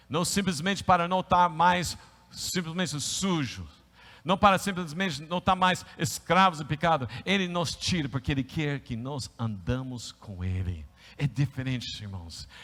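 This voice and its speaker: A man with a fairly high pitch speaks at a fairly slow pace, with very wide pitch swings and a bright, sharp, animated tone. The recording is very clean, with a silent background. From United States. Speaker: pastor. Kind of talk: sermon. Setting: church service, live-streamed.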